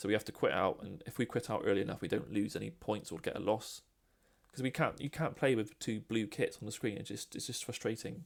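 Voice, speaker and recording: A man with a British accent talks at a fairly quick pace, his fairly low pitch carrying lively intonation and vocal fry. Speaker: gaming podcaster. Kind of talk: opinion monologue over gameplay. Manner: fast. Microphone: poor sound quality, first recording.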